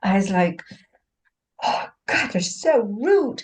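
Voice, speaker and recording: The voice belongs to a woman with a medium pitch. It sounds somewhat breathy. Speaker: hypnosis practitioner. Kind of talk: casual chat.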